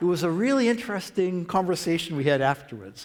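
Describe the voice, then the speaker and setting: A man with a Boston accent speaks at a fairly quick pace. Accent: Boston American. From US Northeast, Boston. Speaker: professor. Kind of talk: lecture. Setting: church with audience.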